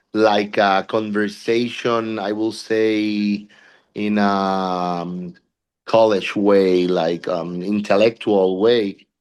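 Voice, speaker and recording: A man with a Puerto Rican accent talks very slowly in a fairly low, flat monotone against a quiet background. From Puerto Rico. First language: Spanish. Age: 40s. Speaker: body piercer. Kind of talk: interview.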